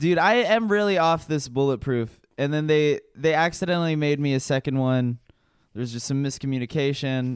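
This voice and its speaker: Moderate-paced speech from a man, fairly high in pitch, with ordinary pitch variation. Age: 20s. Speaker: comedian. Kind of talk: casual chat. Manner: animated.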